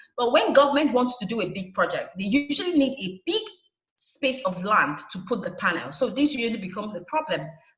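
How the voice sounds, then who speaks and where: A woman with a Nigerian accent speaks at a fairly quick pace in a high voice, her pitch swinging very widely. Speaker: solar energy trainer. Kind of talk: webinar presentation. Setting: online webinar.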